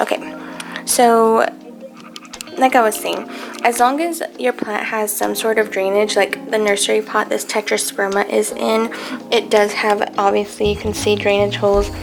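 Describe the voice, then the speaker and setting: A woman talks at a moderate pace. Background music can be heard. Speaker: houseplant content creator. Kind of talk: casual talk to camera.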